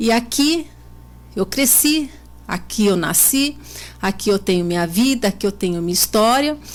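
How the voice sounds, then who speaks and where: Lively intonation from a somewhat breathy woman, very even in loudness, with long, frequent pauses. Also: medium pitch for a woman, moderate pace. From Brazil, São Paulo state (Botucatu). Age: 40s. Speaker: local politician, mayoral candidate. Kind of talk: radio interview.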